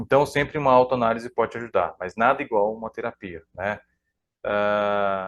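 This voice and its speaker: With a quiet background, an ordinary speaking voice keeps a moderate pace and shows ordinary pitch variation. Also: man. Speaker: psychoanalyst. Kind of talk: live stream talk. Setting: live stream.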